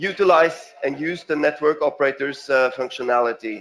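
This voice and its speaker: Speaking with a Norwegian accent, a man with a fairly high pitch keeps a moderate pace and ordinary pitch variation. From Norway. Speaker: payment company representative. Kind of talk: conference presentation. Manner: halting, many fillers.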